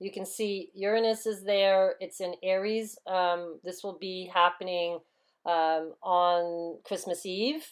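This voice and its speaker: A woman talks at a fairly slow pace and medium pitch. Her intonation stays fairly even while her loudness swings widely. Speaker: spiritual channel host. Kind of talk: esoteric monologue. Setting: outdoors in woods. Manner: halting with frequent fillers; unpolished pronunciation.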